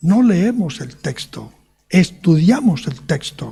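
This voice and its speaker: A man speaks with a high pitch, lively intonation and a dark, mellow tone. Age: 70s. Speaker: preacher. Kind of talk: sermon.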